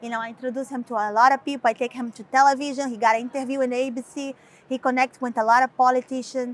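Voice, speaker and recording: Her high-pitched voice carries a strong Brazilian accent and moves at a very fast pace. This woman's delivery is monotone and flat, with big swings in loudness. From Brazil, Recife. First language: Portuguese. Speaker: model and author. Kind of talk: interview. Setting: London fashion week shoot, two cameras. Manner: halting, many fillers.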